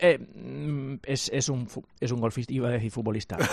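A man's voice with ordinary pitch variation. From Catalonia, Sant Cugat. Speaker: sports journalist. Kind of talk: sports radio chat. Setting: remote link.

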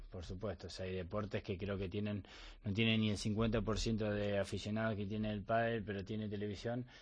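Speaking at a moderate pace, a man with an Argentine accent keeps a fairly low pitch. His intonation stays monotone and flat. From Argentina, Bahía Blanca. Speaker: professional padel player. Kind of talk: interview. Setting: studio.

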